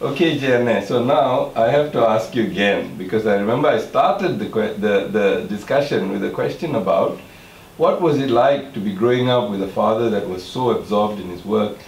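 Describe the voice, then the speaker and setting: A man's medium-pitched voice, fairly quick and lively in intonation, with audible room echo and noticeable background noise. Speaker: artist, interviewer. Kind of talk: interview. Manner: loud.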